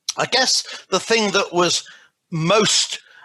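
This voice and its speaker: Bright and sharp in tone, the voice has a British accent and ordinary pitch variation. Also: man. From England. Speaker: doctoral graduate, business school lecturer and clergyman. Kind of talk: recorded video message. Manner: hesitant with fillers.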